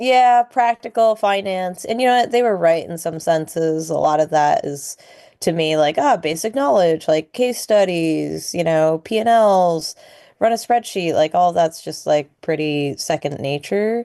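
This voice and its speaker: A woman with an American accent and an unremarkable speaking voice talks at a fairly slow pace and fairly low pitch, with lively intonation over a quiet background. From Boston area, US. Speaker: chef and restaurant owner. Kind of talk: casual interview chat.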